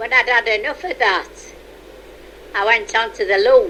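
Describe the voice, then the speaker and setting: Noticeable background noise sits behind a woman speaking with a Yorkshire accent. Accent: Yorkshire (Leeds). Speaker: retired mill worker. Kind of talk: oral history interview.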